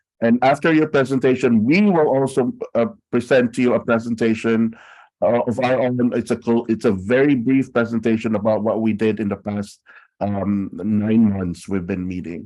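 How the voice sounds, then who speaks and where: This man speaks at a medium pitch with a dark, mellow tone. His pace is moderate and his pitch variation ordinary. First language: not English. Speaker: city council member chairing a task force. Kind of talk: public meeting chairing. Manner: halting.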